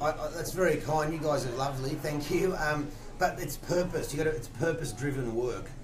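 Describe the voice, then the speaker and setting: A man with an Australian accent speaks at a moderate pace, his pitch fairly high. His intonation is fairly even, and background noise is noticeable. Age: 40s. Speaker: fitness and weight-loss coach. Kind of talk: radio interview. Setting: radio studio. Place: studio.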